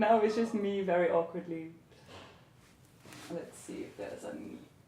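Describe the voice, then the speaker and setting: Over noticeable background noise and audible room echo, a woman with a medium pitch talks at a moderate pace, her intonation lively and her loudness swinging widely. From Belgium, Antwerp (Flemish). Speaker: fashion model. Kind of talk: interview. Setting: photographer's home, livestream.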